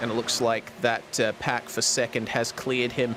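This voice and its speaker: A man's medium-pitched voice, fairly even in intonation, amid noticeable background noise. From Australia, Perth. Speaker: sim racing commentator. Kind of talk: live commentary.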